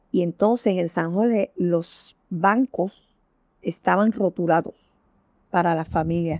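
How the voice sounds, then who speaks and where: The recording is dry and close with no echo as a woman speaks at a fairly low pitch with ordinary pitch variation. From Puerto Rico, Santurce (San Juan). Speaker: social worker. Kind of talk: oral history interview. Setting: at home.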